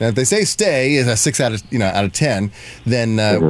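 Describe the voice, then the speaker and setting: Background noise is noticeable in this clip. Over it, a man speaks very fast. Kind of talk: casual chat. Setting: studio. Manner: animated.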